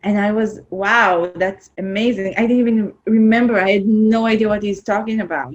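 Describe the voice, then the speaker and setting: Speaking with an Israeli accent, a woman uses a fairly high pitch and fairly even intonation at a fairly quick pace. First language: Hebrew. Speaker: film producer. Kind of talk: interview. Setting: remote call.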